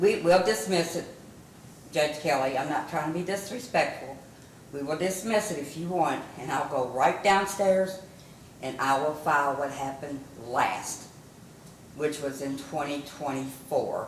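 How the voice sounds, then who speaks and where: With a Kentucky accent, a woman talks at a fairly slow pace and a very deep, low pitch, her pitch varying in an ordinary way and broken by long, frequent pauses. Noticeable background noise and audible room echo are present. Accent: southern US (Kentucky). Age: 60s. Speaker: plaintiff. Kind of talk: court hearing. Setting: courtroom. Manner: interrupting, emotional.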